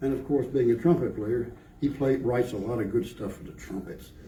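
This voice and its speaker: A man with an American accent and a dark, mellow, somewhat breathy tone speaks with lively intonation amid audible room echo. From North Carolina. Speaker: brass quintet musician. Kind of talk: concert stage announcement. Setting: library concert with audience. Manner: casual, joking.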